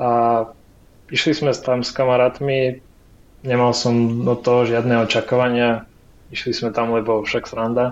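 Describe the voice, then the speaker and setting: Pausing long and often, a man with a medium pitch speaks at a fairly slow pace, his loudness very even and his intonation flat and monotone. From Ukraine. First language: Ukrainian (speaking Slovak). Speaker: frontend developer. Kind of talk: interview.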